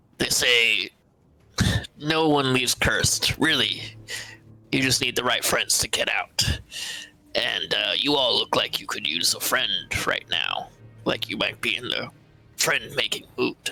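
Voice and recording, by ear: A man does a raspy, put-on character voice at a moderate pace while faint music plays in the background.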